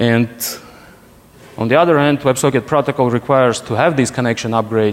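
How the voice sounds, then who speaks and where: This man speaks at a medium pitch with fairly even intonation and a Russian accent. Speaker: security researcher, conference speaker. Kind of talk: conference talk. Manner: halting, many restarts.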